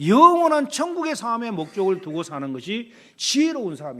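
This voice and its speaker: A man's voice with very wide pitch swings at a moderate pace, on a very clean recording with a silent background. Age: 60s. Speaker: pastor. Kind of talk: sermon.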